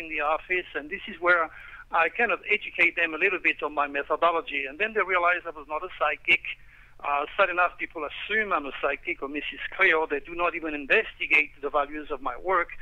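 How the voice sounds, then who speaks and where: Fairly quick in pace, a man speaks at a high pitch. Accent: French. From France, Provence. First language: French. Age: 60s. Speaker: astrologer. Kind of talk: radio interview.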